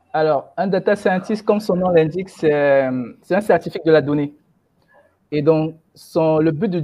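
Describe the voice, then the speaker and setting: An unremarkable speaking voice with ordinary pitch variation. The pace is fairly slow. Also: man. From Cameroon. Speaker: data science expert. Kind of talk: webinar interview.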